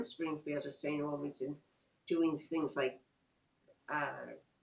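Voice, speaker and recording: With a New York accent, the speaker goes at a moderate pace. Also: woman. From New York, Long Island and Queens. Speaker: interviewee, mother of the interviewer. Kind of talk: oral history interview. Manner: halting.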